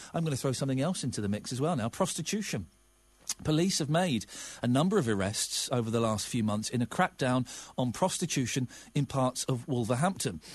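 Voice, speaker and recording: Against a quiet background, a man with a somewhat breathy voice talks at a medium pitch and a fairly quick pace. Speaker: radio presenter. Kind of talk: radio phone-in. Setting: studio.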